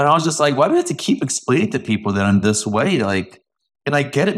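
Speaking at a fairly quick pace, a man uses vocal fry and very wide pitch swings. The recording is very clean, with a silent background. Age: 30s. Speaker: brewmaster. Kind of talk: personal testimony in interview. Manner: candid, casual with mild profanity.

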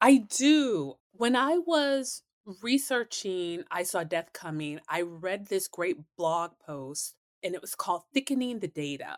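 Very slowly, a woman speaks with very wide pitch swings and big swings in loudness, the sound dry and close with no echo. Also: medium pitch for a woman. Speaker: historian and professor. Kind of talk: interview.

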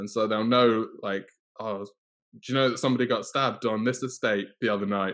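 A man with a northern English accent talks at a fairly quick pace in a monotone, flat intonation. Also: medium pitch for a man. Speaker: co-host. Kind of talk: casual chat.

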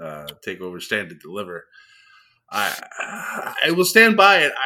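A man's voice with very wide pitch swings at a fairly slow pace. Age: 30s. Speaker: wrestling podcast co-host. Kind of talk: casual chat. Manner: animated.

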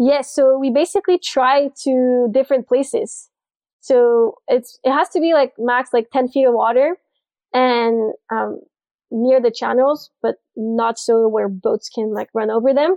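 The speaker has a slight Quebec accent and talks at a fairly slow pace. Pitch varies in an ordinary way. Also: woman, high pitch for a woman. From Montreal, Quebec. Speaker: spearfisher and diver in sales. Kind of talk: casual interview.

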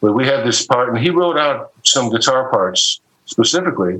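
A man's medium-pitched voice with an American accent, lively intonation and an unremarkable speaking voice. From Ohio, Cleveland. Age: 60s. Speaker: session guitarist. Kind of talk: interview.

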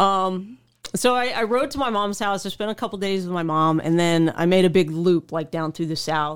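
A woman with an American accent and an unremarkable speaking voice, medium in pitch, at a moderate pace with ordinary pitch variation, on a very clean recording with a silent background. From Oklahoma, small town. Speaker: motorcycle traveler. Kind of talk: casual interview.

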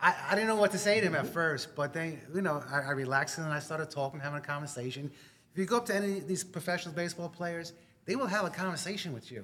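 A man with a New York accent talks at a very fast pace. His pitch is high, with ordinary pitch variation. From New York, Long Island. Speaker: army veteran. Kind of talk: casual interview.

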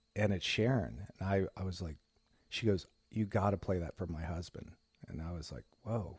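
A man speaks with an American accent in a very deep, low voice. He is somewhat breathy, keeps a moderate pace, and shows ordinary pitch variation. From US Midwest, Indiana. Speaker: rock guitarist. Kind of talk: interview.

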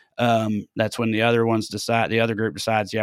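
In a Southern US accent, the voice comes through dry and close with no echo on a very clean recording with a silent background. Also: man. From US South (Tennessee). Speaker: comedian. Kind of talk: casual chat.

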